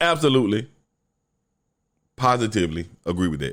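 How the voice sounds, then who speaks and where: This man has lively intonation and an animated tone. Vocal fry runs through his voice. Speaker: podcast host. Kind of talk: solo podcast monologue.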